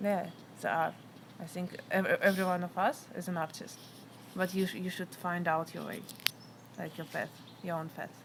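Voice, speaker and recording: With a non-native accent, a woman speaks at a moderate pace and medium pitch, her intonation fairly even and her speech broken by long, frequent pauses. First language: not English. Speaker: interviewee sharing life story. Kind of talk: interview. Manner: halting.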